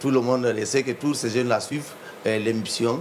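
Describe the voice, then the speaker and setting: Against noticeable background noise, a man speaks at a medium pitch in a Guinean accent. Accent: Guinean French accent, unchanged. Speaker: entrepreneur, coffee distributor. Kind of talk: TV interview. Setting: TV studio with cameras. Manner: hesitant, many fillers.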